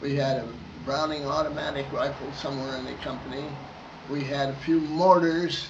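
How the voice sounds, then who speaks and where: Over noticeable background noise and audible room echo, a man with a fairly high pitch talks at a moderate pace in a monotone, flat intonation, his loudness swinging widely. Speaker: war veteran. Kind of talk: oral history interview. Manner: halting.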